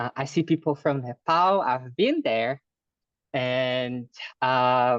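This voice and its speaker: With a Brazilian Portuguese accent, a man speaks at a medium pitch with ordinary pitch variation, in a dry, close sound with no echo against a quiet background. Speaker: fundraising specialist. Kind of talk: online lecture. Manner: hesitant, many fillers.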